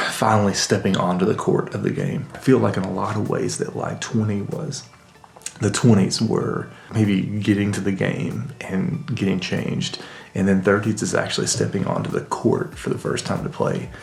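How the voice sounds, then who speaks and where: A man with a fairly low voice speaks with lively intonation over noticeable background noise and audible room echo. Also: moderate pace. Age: 30s. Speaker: vlogger. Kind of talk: casual monologue. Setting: home basement. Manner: whispering; reflective, halting.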